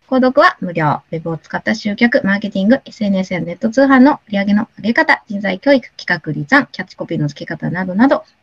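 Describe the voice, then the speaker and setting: The somewhat breathy voice makes very wide pitch swings, recorded with a dry, close sound and no echo. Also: woman. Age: 60s. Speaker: radio host. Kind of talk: casual interview.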